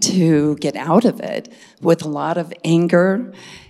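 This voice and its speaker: A woman talks in a normal speaking voice. Her pitch is fairly low, with ordinary variation. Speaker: retreat attendee sharing experience. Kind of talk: testimony.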